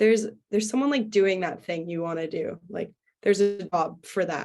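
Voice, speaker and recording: Speaking with a Canadian accent, a woman keeps a moderate pace. Her medium pitch shows ordinary variation. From western Canada, Vancouver. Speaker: singer-songwriter. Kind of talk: casual interview. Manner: animated.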